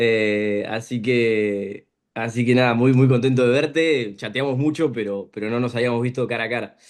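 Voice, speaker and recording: A man's fairly even intonation with hardly any pauses, over a quiet background. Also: medium pitch for a man, moderate pace. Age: 20s. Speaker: guest expert. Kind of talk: casual interview. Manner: halting, many repetitions.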